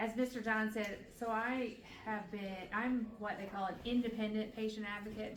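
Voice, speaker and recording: Recorded with audible room echo and noticeable background noise, a woman is speaking. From Newfoundland, Canada. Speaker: patient advocate and nurse. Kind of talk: presentation to community group. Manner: chatty, with frequent fillers.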